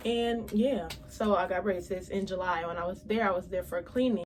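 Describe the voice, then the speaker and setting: Noticeable background noise behind a woman's medium-pitched voice, fairly quick in pace and with ordinary pitch variation. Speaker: beauty and lifestyle vlogger. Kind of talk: casual vlog monologue. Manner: fast.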